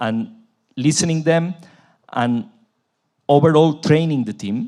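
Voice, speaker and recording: Spoken with a Spanish accent at a fairly slow pace, the voice comes through a very clean recording over a silent background. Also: man. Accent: Spanish accent, noticeable. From Spain, Barcelona. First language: Spanish or Catalan. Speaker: transport company executive. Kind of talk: panel discussion. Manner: halting.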